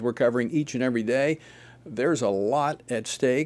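A man talks at a fairly quick pace. His pitch variation is ordinary. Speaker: TV show host. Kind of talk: news show presenting. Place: studio.

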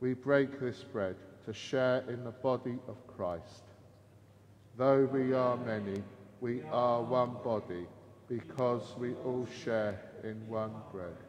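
Very slowly and with long, frequent pauses, a man speaks against noticeable background noise. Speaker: priest. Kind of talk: Anglican Eucharist service: the priest leads liturgical prayer. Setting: church service streamed online. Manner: formal, measured, solemn, reverent liturgical delivery, with warm informal asides. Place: church.

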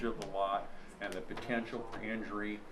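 Amid noticeable background noise and audible room echo, a man talks at a fairly low pitch and moderate pace with fairly even intonation. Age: 60s. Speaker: planning board member. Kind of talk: public meeting discussion. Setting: town planning board meeting.

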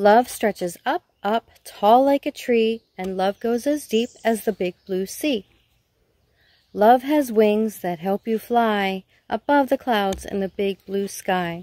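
A woman's very slow delivery, dark and mellow in tone, with ordinary pitch variation and a dry sound with no echo. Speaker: nurse. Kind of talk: children's bedtime story reading. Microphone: phone near.

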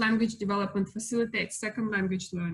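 A woman with a Russian accent speaks in a bright, sharp tone with fairly even intonation. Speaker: family daycare educator giving talk to parents. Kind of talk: lecture. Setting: video call. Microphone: video call.

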